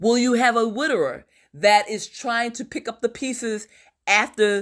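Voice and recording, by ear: A woman's fairly high pitch at a fairly slow pace, on a very clean recording with a silent background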